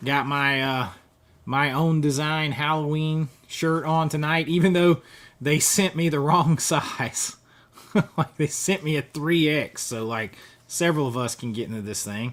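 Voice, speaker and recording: The speaker has a Southern US accent. The delivery is at a fairly slow pace. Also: man, fairly high pitch for a man, ordinary pitch variation. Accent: Southern US accent, kept. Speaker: YouTuber, film collector. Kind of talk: live stream chat. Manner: casual, chatty.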